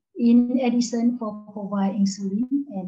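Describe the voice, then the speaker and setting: A woman with a dark, mellow tone and a somewhat breathy voice speaks at a fairly slow pace, her intonation fairly even. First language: Lao. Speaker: doctor. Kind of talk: conference presentation. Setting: video call.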